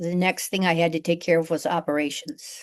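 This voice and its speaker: Fairly even in intonation, a woman talks with an American accent. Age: 60s. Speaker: business owner. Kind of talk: interview. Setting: podcast. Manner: halting, many fillers.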